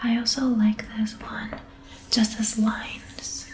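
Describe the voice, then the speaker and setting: Soft-spoken, a woman talks very slowly in a calm, relaxed tone and a fairly high pitch. Noticeable background noise runs under her voice. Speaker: illustrator and ASMR artist. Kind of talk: soft spoken ASMR show and tell. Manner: soft-spoken, calm, relaxed.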